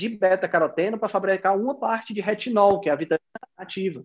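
This voice belongs to a man. His pitch is high. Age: 40s. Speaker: nutrition student and health podcaster. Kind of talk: interview, explanatory.

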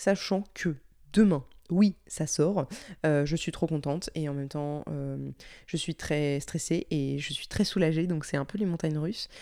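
On a very clean recording with a silent background, a woman with a dark, mellow tone speaks at a fairly low pitch with ordinary pitch variation. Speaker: podcaster and audio producer. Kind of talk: casual solo vlog-style chat. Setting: home recording.

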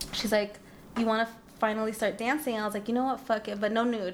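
With an American accent, a woman speaks at a fairly high pitch in an animated tone. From Orange County, California. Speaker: stripper. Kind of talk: casual chat.

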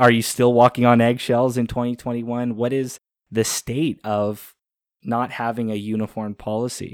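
A man with a Canadian accent speaks fairly slowly at a medium pitch in a flat, monotone delivery, with a dry, close sound, no echo, and a very clean recording against a silent background. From Canada. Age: 20s. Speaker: podcast host. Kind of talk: casual interview.

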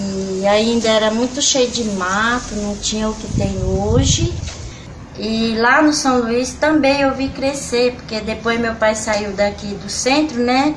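Her pitch is fairly high and her pace very slow. Noticeable background noise and audible room echo surround this woman's voice. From São Paulo state, Brazil (Pirapora do Bom Jesus / Santana de Parnaíba). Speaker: museum cleaner. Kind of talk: oral history interview.

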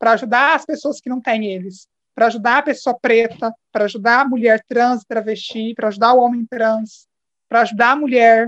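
A woman speaks at a fairly quick pace with fairly even intonation, in a normal speaking voice. The sound is dry and close, with no echo. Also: fairly high pitch for a woman. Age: 20s. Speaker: podcast guest. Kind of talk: casual chat.

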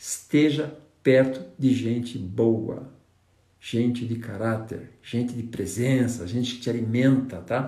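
A man speaks very slowly at medium pitch with fairly even intonation, somewhat breathy. His tone is dark and mellow, with audible room echo around it. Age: 60s. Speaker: negotiation trainer and consultant. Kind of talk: live stream talk. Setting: Instagram live stream.

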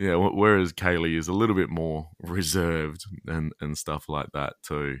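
A man speaks with an Australian accent at a very deep, low pitch. His intonation is fairly even. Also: moderate pace, dry, close sound with no echo, very clean recording, silent background. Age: 30s. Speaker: podcast co-host and father. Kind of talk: casual chat. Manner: frequent laughter.

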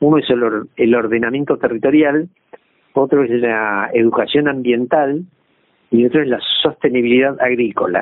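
At a moderate pace, a man talks at a medium pitch in a plain, everyday voice. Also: very even loudness. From Argentina, southwest Buenos Aires province. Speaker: retired agronomist. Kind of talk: interview.

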